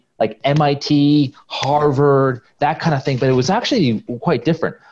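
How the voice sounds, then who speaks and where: Speaking fairly slowly with an American accent, the voice comes over light background noise. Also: man. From US West Coast (Silicon Valley, California). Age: 20s. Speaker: business founder. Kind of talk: casual interview. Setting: video call. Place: home room. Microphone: earbuds.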